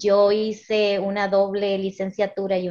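Fairly slow, medium-pitched speech from a woman. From United States, Dominican parents. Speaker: educator and literacy specialist. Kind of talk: casual interview.

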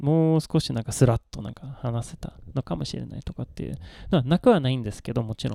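A man with a dark, mellow tone talks at a very fast pace with lively intonation and big swings in loudness, in a dry, close sound with no echo. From Sweden. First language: Swedish (speaking Japanese). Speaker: Japanese tea expert. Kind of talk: casual chat.

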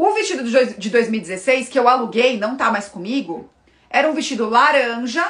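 At a fairly slow pace, a woman speaks with ordinary pitch variation in a plain, everyday voice. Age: 30s. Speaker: fashion and style consultant. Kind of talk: casual live-stream talk to viewers.

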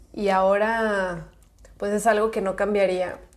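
A woman with a medium-pitched voice speaks in a space with audible room echo. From Mexico, Guadalajara. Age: 20s. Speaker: podcast host. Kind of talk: casual chat.

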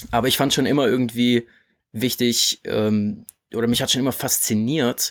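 A man speaks in a normal speaking voice, at a moderate pace and medium pitch. His intonation stays fairly even, and the recording is very clean with a silent background. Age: 20s. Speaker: podcast host and online entrepreneur. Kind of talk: casual chat.

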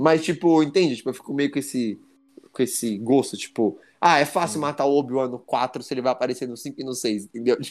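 On a very clean recording with a silent background, the voice sounds animated and moves at a fairly quick pace. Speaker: podcast host. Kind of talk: casual chat.

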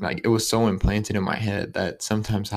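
With an American accent, a man has a normal speaking voice at a fairly low pitch, moving at a moderate pace with ordinary pitch variation on a very clean recording with a silent background. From Ohio, Youngstown. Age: 20s. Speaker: podcast host. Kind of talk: casual monologue.

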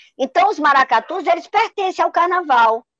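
A woman's voice leaps through very wide pitch swings, recorded dry and close with no echo. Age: 60s. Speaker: professor, artist and folk culture researcher. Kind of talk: radio panel discussion. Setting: remote call into radio show.

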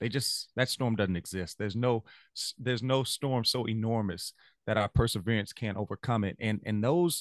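A man with a Louisiana accent speaks very fast in a fairly low pitch. The sound is dry and close with no echo, and the background is quiet. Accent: US Southern (Louisiana). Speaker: music teacher. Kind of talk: casual interview chat. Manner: animated, motivational.

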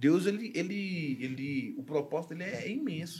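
A man's normal speaking voice, fairly high in pitch with lively intonation. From Brazil, Goiânia, Goiás. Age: 20s. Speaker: church musician, drummer. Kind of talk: casual chat, testimony.

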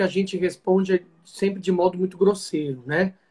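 The man speaks in a high pitch. His pace is fairly quick. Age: 20s. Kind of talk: interview on a live stream.

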